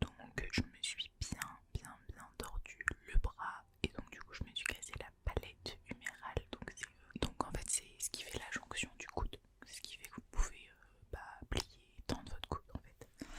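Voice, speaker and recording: A woman whispers at a fairly slow pace, her loudness swinging widely. Noticeable background noise runs underneath. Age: 20s. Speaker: ASMR creator. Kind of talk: casual talk to camera. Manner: whispered.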